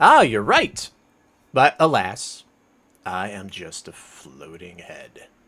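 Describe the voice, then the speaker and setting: A man's put-on character voice, fairly low in pitch, at a very slow pace with long, frequent pauses. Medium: actual play. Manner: impatient, distracted.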